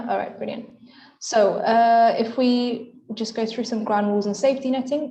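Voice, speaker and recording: Audible room echo carries a woman's fairly high-pitched voice. Her tone is dark and mellow, her intonation monotone and flat. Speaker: medical student speaker. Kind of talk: lecture. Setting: video call. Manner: fast.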